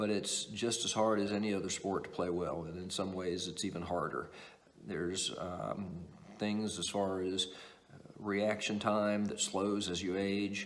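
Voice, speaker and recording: With audible room echo around him, a man speaks at a fairly slow pace in a fairly low pitch and a monotone, flat intonation. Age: 60s. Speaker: table tennis coach. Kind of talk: tutorial. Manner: halting.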